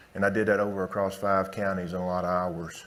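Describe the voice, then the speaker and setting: Over audible room echo, a man with a Southern US accent talks very fast at a fairly low pitch in a monotone, flat intonation. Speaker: veterinarian. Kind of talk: conference talk.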